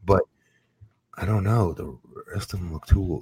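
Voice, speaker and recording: Dry and close with no echo, the recording catches a man with a dark, mellow tone and vocal fry. He talks at a moderate pace with ordinary pitch variation. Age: 40s. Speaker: former pro wrestler, podcast co-host. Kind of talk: casual chat.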